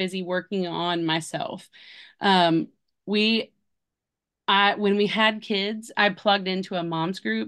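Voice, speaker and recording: This woman has an unremarkable speaking voice, medium in pitch, with fairly even intonation over a quiet background. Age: 40s. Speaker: homeschooling mother. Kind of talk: casual chat.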